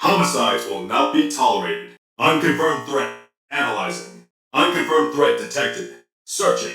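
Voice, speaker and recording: Putting on a character voice, a man talks in a raspy, very deep, low pitch at a moderate pace with a slight echo. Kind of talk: game character dialogue. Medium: video game.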